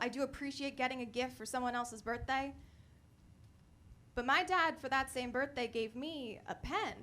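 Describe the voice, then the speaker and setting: A woman's raised, projected voice at a high pitch, bright and sharp in tone, with ordinary pitch variation and a fairly quick pace. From Connecticut. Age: 20s. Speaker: stand-up comedian. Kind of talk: stand-up. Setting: comedy club stage with audience.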